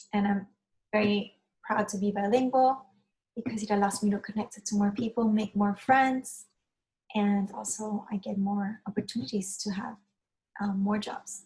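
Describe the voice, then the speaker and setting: A woman's somewhat breathy voice moves with fairly even intonation and long, frequent pauses. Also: medium pitch for a woman, moderate pace. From Cuba. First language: Spanish. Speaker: Spanish teacher. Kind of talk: online lesson.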